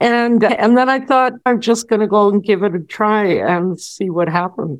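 A woman speaks at a fairly slow pace with lively intonation. Hers is an unremarkable speaking voice. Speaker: academic and author. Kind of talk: interview recounting her life.

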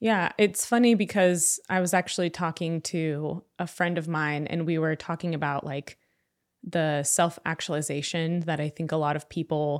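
A woman speaks at a moderate pace and fairly low pitch in an unremarkable speaking voice. The recording is very clean, with a silent background. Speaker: data analytics administrator, immigrant guest. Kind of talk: casual interview.

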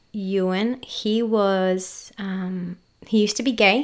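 In an Australian accent, the speaker keeps a fairly even intonation on a very clean recording with a silent background. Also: woman. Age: 30s. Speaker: podcast host. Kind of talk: casual chat.

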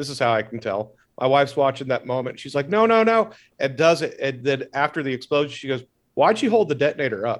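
A man with a fairly high voice speaks at a very fast pace with lively intonation on a very clean recording with a silent background. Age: 40s. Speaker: podcast guest. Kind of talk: casual chat.

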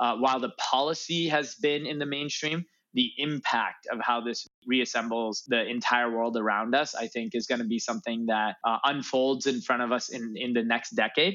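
This man has an unremarkable speaking voice with an American accent, medium pitch, ordinary pitch variation and a moderate pace. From US Midwest, Chicago north suburbs. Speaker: startup founder and CEO. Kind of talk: interview.

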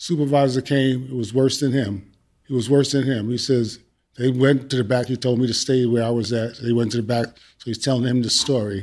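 With a plain, everyday voice and an American accent, a man speaks at a fairly quick pace with a medium pitch and fairly even intonation. The recording is very clean, with a silent background. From New York. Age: 60s. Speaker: retired teacher and police officer. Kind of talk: panel discussion.

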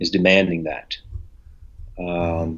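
The pace is moderate. This man talks with an American accent. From US, Memphis Tennessee and St. Louis. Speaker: retired pro bodybuilder. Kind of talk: interview storytelling.

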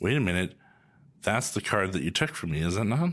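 With a western Canadian accent, a man speaks at a moderate pace with very wide pitch swings on a very clean recording with a silent background. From Canada, Calgary. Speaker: podcast host, real estate agent. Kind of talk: scripted intro/outro; casual interview while playing a board game.

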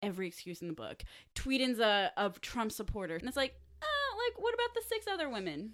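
At a moderate pace, a woman with an American accent speaks in a very clean recording with a silent background. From Delaware County, Pennsylvania. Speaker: podcast host. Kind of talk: casual chat.

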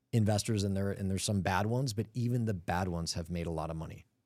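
A man with an American accent speaks in a dark, mellow tone at a fairly low pitch with ordinary pitch variation. The recording is very clean, with a silent background. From US (Cleveland, Los Angeles, Atlanta). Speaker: commercial real estate firm founder and CEO. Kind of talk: interview conversation. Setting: studio.

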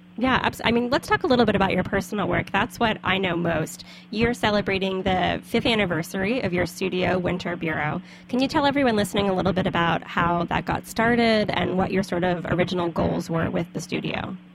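An ordinary speaking voice from a woman, medium-pitched with an American accent, at a fairly quick pace with hardly any pauses, very even loudness and ordinary pitch variation. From US South. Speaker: podcast host. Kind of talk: casual interview. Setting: studio.

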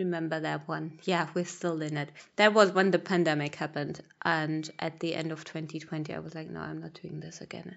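A woman with a German accent, fairly low pitch and vocal fry, speaking at a moderate pace in a monotone, flat intonation. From Germany, Berlin. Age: 30s. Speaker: podcast host. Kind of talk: solo podcast monologue. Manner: casual, chatty.

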